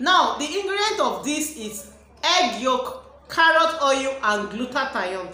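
Speaking at a very slow pace with hardly any pauses, a woman uses a raised, projected voice at a high pitch. Her pitch swings very widely, and room echo is audible. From Nigeria. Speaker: beauty product reviewer and cosmetics seller; beauty product reviewer, cosmetics seller. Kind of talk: product review vlog. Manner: animated. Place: home room. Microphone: phone near.

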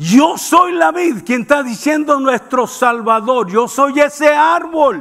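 A man speaks at an extremely high pitch and a very slow pace. His intonation is lively, and the background is quiet. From Mexicali, northern Mexico; Mexico. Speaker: preacher. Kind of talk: sermon. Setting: church. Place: church. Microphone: headset.

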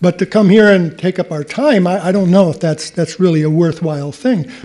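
The voice has a dark, mellow tone, moving at a moderate pace with ordinary pitch variation over a quiet background. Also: man. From Connecticut. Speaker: resident speaking at public comment. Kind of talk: public comment. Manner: blunt and combative. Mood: irritated, argumentative. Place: hall. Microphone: podium.

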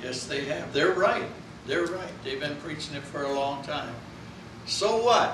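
Fairly high male voice with audible room echo and noticeable background noise. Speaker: pastor. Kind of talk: sermon. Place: church. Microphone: camera far.

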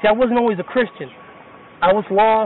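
A man talking very fast, dry sound with no echo, light background noise behind him. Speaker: street preacher. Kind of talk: street sermon to a listener. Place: street. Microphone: phone near.

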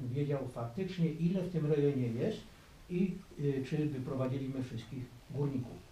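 Fairly quick speech with ordinary pitch variation, light background noise, and audible room echo. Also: man. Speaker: mine tour guide. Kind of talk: guided tour explanation. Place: tunnel cave.

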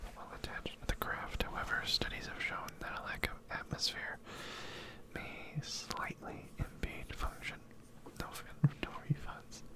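A man whispers, moving at a fairly slow pace and pausing long and often. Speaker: gameplay streamer. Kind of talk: casual talk to camera, gameplay commentary with ASMR whisper. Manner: whispering, close to the microphone. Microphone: studio mic.

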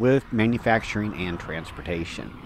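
An ordinary speaking voice, a man's fairly low pitch carries ordinary pitch variation at a moderate pace, with a dry sound with no echo and light background noise. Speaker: walking tour host. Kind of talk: travel commentary. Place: street.

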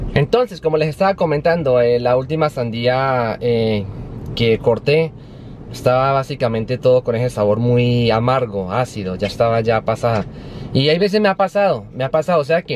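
Light background noise behind a man at a moderate pace, the sound dry and free of echo. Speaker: vlogger. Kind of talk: casual vlog chat. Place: car. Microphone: phone near.

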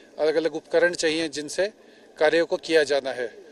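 Recorded dry with no echo, a man with a high pitch speaks with fairly even intonation. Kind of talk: interview answer. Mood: serious, measured. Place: open country. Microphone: handheld.

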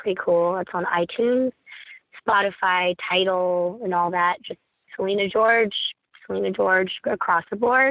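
A woman with an American accent speaks in a normal speaking voice at medium pitch. Her pace is moderate and her pitch variation ordinary. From US, Rockville, Maryland. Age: 20s. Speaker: singer-songwriter. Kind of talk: casual interview.

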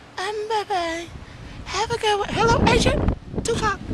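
A man puts on a squeaky character voice pitched extremely high. Clear background noise can be heard. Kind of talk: comic parody monologue. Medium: comedy sketch. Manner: boastful, pleading, goofy.

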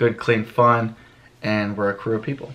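A man talks at a medium pitch. His pace is fairly quick. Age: 20s. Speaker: YouTube vlogger. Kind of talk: casual vlog and Q&A. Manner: animated. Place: home room. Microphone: camera far.

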